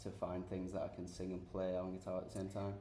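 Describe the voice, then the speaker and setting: A man with a Sheffield accent talks very fast in a fairly low, dark, mellow, somewhat breathy voice, with audible room echo. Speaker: rock band guitarist and singer. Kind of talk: casual interview chat. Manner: hesitant, many fillers.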